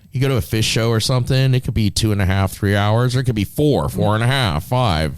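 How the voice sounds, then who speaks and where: A man's fairly low-pitched, unremarkable speaking voice with lively intonation and a fairly quick pace, on a very clean recording with a silent background. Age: 50s. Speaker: podcast co-host. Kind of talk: casual chat.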